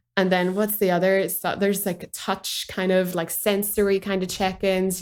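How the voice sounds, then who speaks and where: A woman speaks with a Northern Irish accent. Her pitch is medium and her pace moderate. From Northern Ireland. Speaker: dramatherapist. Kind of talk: podcast interview answer.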